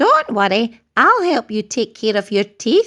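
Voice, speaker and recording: A female-sounding voice puts on a character. The pitch is fairly high for a woman. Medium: read story.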